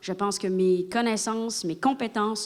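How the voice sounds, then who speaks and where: A woman at medium pitch, with fairly even intonation and a moderate pace. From Quebec. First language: Spanish (speaking French). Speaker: politician. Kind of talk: political debate.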